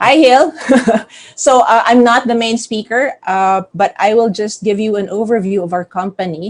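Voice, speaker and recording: Her voice is a plain, everyday voice, fairly high-pitched for a woman, with ordinary pitch variation at a moderate pace. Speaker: company CEO. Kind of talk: business presentation.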